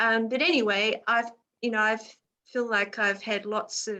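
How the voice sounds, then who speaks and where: With an Australian accent, a woman talks at a fairly high pitch with fairly even intonation. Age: 60s. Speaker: children's mindfulness teacher. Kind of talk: casual chat. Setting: video call.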